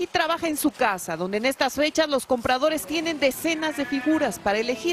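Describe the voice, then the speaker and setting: Over noticeable background noise, a high-pitched woman speaks at a fairly quick pace with lively intonation. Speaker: TV news reporter. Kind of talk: TV news report narration.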